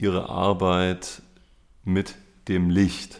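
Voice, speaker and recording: A man speaks very slowly in a very deep, low pitch. His intonation is monotone and flat. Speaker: podcast host. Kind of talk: interview. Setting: gallery. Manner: formal.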